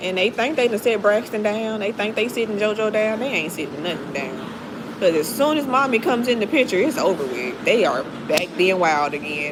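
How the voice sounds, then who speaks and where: A woman's fairly high voice with very wide pitch swings, amid noticeable background noise and audible room echo. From Mississippi, US South. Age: 30s. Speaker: livestreamer. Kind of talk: casual chat. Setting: livestream. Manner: animated.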